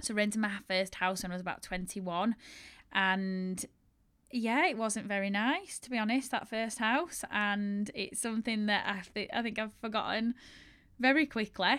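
In a strong Yorkshire accent, a woman speaks at a fairly high pitch with ordinary pitch variation on a very clean recording with a silent background. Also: moderate pace. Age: 30s. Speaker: bridal shop owner and podcast host. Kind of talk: casual solo storytelling monologue.

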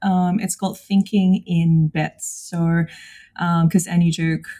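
A woman's somewhat breathy voice, fairly low in pitch with ordinary pitch variation, dark and mellow in tone, at a fairly slow pace. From Indonesia. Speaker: psychologist. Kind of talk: casual chat.

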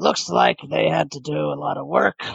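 A man uses a put-on character voice that is raspy and gruff, with a very deep, low pitch. He talks at a moderate pace. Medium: actual play. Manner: gruff, curt.

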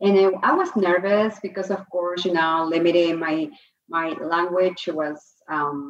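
A woman talks at a fairly low pitch. Her intonation is fairly even. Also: fairly slow pace.

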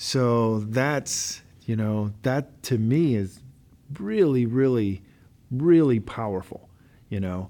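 Speaking at a very slow pace with long, frequent pauses, a man has a dark, mellow tone. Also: medium pitch for a man, ordinary pitch variation. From Louisiana. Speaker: podcast host, university staff. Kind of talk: podcast interview. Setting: studio.

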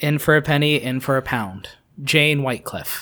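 A put-on character voice with ordinary pitch variation. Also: man, fairly high pitch for a man, moderate pace. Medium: actual play. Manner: terse, understated.

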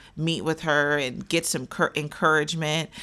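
A woman speaks at a fairly slow pace in a very deep, low voice with a bright, sharp tone. The recording is very clean, with a silent background. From Wichita, Kansas. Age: young. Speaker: relationship coach. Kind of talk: casual interview conversation.

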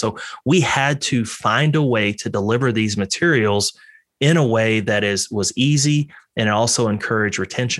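A man's normal speaking voice, medium in pitch, with lively intonation. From Texas. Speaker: veterinarian. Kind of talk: interview.

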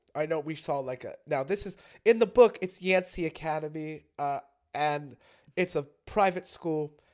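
With a normal speaking voice, a man talks at a moderate pace in a fairly high pitch, with ordinary pitch variation and big swings in loudness, in a very clean recording against a silent background. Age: 20s. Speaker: podcast co-host. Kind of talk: casual chat.

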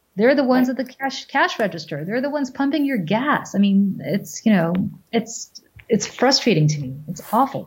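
A woman's fairly high voice with vocal fry, at a moderate pace, with very wide pitch swings. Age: 40s. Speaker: business owner and mother. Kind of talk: casual chat.

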